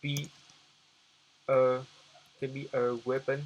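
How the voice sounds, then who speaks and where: A man with a non-native accent talks at a fairly high pitch. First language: not English. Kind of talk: business tutorial talk to camera. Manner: halting, hesitant, many repetitions.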